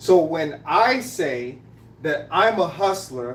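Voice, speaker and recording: The speaker has an American accent. Audible room echo is present. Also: man. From Greenville, South Carolina, raised among Trinidadian Brooklyn family. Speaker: live-stream host. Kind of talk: casual live-stream monologue. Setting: live stream at home, making coffee. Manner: animated, repetitive.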